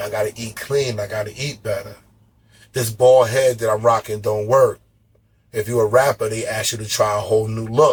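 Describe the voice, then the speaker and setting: Intonation stays monotone and flat in a voice that comes across somewhat breathy. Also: man, medium pitch for a man, moderate pace. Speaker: podcast host. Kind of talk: casual chat.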